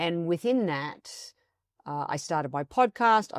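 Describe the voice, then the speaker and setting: A woman with an Australian accent uses lively intonation in a very clean recording with a silent background and a dry, close sound with no echo. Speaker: coaching expert and author. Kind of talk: podcast interview. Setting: studio, on video.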